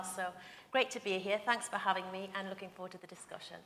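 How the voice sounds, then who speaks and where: Audible room echo surrounds a woman with a North East England accent whose medium-pitched voice has a bright, sharp tone. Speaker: regional business leader. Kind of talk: panel discussion. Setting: conference stage with audience.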